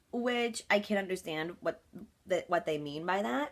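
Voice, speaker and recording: A woman talks in an animated tone at a moderate pace, her intonation lively. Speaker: vlogger. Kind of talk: casual vlog monologue. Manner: loud.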